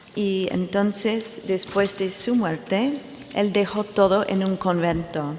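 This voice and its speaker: With an English accent, a woman speaks at a very slow pace, her pitch medium with ordinary variation. Noticeable background noise and audible room echo surround her voice. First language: English (speaking Spanish). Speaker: art historian. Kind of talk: conference talk. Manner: halting.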